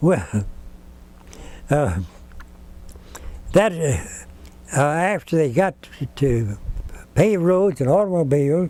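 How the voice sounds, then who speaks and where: Speaking in a Texan accent with a fairly high pitch, a man goes at a very slow pace with long, frequent pauses, lively intonation, and very even loudness. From Central Texas. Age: 80s+. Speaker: retired school teacher. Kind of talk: oral history interview answer.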